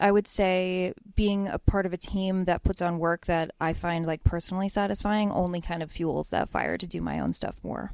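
In an American accent, a woman uses an ordinary speaking voice at medium pitch, recorded very clean with a silent background and a dry, close sound with no echo. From Pennsylvania, US (Bethlehem). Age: 30s. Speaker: cartoonist. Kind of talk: casual interview.

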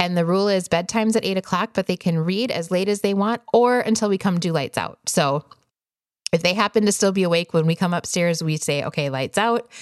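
On a very clean recording with a silent background and a dry, close sound with no echo, a woman with a normal speaking voice and an American accent speaks at a fairly quick pace and medium pitch, with very even loudness and ordinary pitch variation. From US Midwest, Wisconsin. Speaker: podcast host, homeschooling parent. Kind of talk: casual solo podcast talk.

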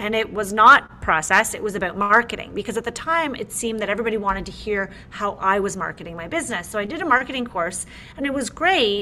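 Talking very fast with hardly any pauses, a woman with a Canadian accent uses a fairly high pitch and lively intonation over noticeable background noise. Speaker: interior designer and podcaster. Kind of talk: casual interview chat. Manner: upbeat, enthusiastic.

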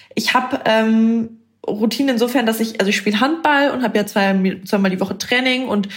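Somewhat breathy, a woman speaks at a fairly quick pace. Her pitch is fairly high. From northern Germany, Bremen. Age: 20s. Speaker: content creator. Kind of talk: casual chat.

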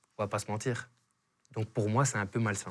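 A man with a Belgian accent speaks at a very fast pace, his voice somewhat breathy. The recording is very clean, with a silent background. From Belgium. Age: 30s. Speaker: real estate agent. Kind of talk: casual interview chat. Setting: studio.

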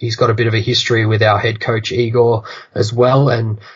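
A man with an Australian accent talks at a fairly quick pace and medium pitch, somewhat breathy, in a flat monotone. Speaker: basketball podcaster. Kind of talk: casual sports chat. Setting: remote call.

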